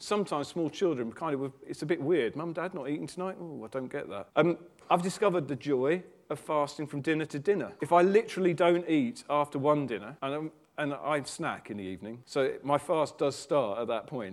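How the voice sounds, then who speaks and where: The pace of this man's speech is fairly quick. He talks in a fairly high pitch. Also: lively intonation. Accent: British. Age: 40s. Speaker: preacher. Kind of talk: sermon.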